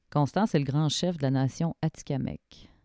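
A woman in a Quebec accent speaks at a fairly slow pace with a very deep, low pitch and a dark, mellow tone. The sound is dry and close with no echo, on a very clean recording with a silent background. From Quebec, Shawinigan. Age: 30s. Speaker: podcast host. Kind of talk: interview conversation; scripted narration.

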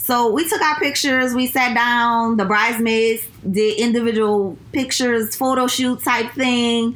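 A woman with a New Orleans accent, high-pitched, fairly slow and with hardly any pauses, her intonation fairly even and her loudness very even. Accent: New Orleans Southern US. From New Orleans, US South. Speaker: recent bride, friend of host. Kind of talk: casual chat.

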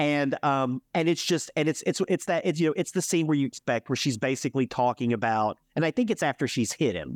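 A plain, everyday voice with lively intonation at a fairly quick pace, hardly any pauses, very even loudness, and a dry, close sound with no echo. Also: man, fairly high pitch for a man, very clean recording, silent background. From US South, Alabama. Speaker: podcast host. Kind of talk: casual chat.

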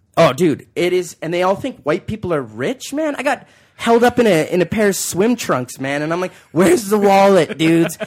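A man with a Canadian accent talks at a moderate pace in a high voice, his pitch swinging very widely. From Calgary, western Canada. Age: 30s. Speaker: comedian. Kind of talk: casual chat. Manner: animated.

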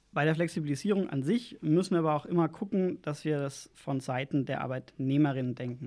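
Ordinary pitch variation and a dark, mellow tone mark this man's voice. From Lower Franconia, Bavaria (Schweinfurt). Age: 30s. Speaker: local political candidate. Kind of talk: interview.

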